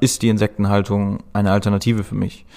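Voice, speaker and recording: This man talks at a moderate pace in a fairly low, flat, monotone voice, and the recording is very clean with a silent background. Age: 30s. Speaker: agricultural engineer at insect farming company. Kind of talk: interview.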